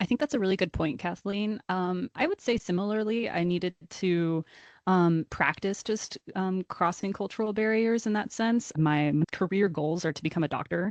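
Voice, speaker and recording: With a normal speaking voice and an American accent, a woman talks at a moderate pace and medium pitch, with ordinary pitch variation, over a quiet background. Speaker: university student. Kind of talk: casual chat.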